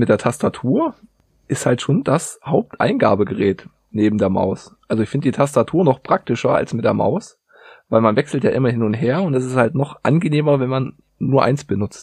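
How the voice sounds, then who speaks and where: An ordinary speaking voice from a man, medium in pitch, with lively intonation at a moderate pace. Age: 30s. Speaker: metal industry worker, keyboard hobbyist. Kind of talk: casual chat.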